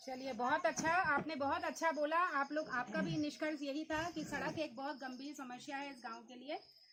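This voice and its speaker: Over noticeable background noise, a woman speaks at a moderate pace in a high pitch. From Uttarakhand, Almora (Kumaon hills). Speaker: vlogger and interviewer. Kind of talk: on-location village interview vlog.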